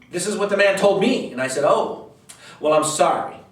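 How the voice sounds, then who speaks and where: Amid noticeable background noise and audible room echo, a man speaks in an animated tone with ordinary pitch variation. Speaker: real estate investor. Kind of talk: direct-to-camera talk. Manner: fast.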